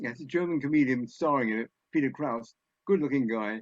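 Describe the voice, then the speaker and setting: With an English accent, a man talks at a fairly high pitch with ordinary variation, the sound dry and close with no echo. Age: 80s+. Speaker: comedy scriptwriter. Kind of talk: after-dinner talk.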